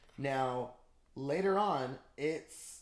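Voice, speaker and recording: Audible room echo surrounds a man who speaks at medium pitch with ordinary pitch variation. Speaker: podcast host. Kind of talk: casual chat. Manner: fast; animated.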